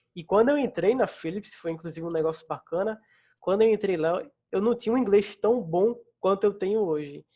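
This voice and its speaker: Against a quiet background, a man with a slight northeastern Brazilian accent talks at a moderate pace. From Northeast Brazil. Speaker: front-end developer. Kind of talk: casual interview.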